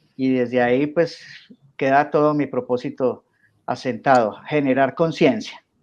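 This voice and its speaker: A man with a Colombian paisa accent, fairly high in pitch, at a fairly slow pace with ordinary pitch variation, against a quiet background. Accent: Colombian coffee region (paisa). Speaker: coach and teacher. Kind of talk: radio interview.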